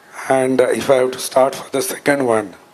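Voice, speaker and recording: Through noticeable background noise, a man speaks at medium pitch with fairly even intonation. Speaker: power sector expert, panelist. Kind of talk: panel talk. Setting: conference stage with audience.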